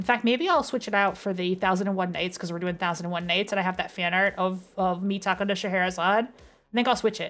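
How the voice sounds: The reading sounds natural, and the pitch shifts in an ordinary way.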